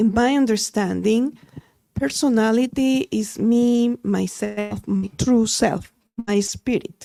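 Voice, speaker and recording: A woman with a fairly high pitch and a dark, mellow tone speaks very slowly with ordinary pitch variation. Her loudness stays very even, and the sound is dry and close with no echo. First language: Spanish. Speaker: audience member. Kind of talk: audience question.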